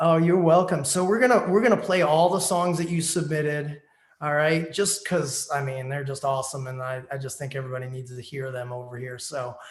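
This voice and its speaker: With an American accent, a man talks at a fairly quick pace and a fairly high pitch. His pitch variation is ordinary, and audible room echo is present. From New Jersey, US. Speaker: online radio show host. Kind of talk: casual interview.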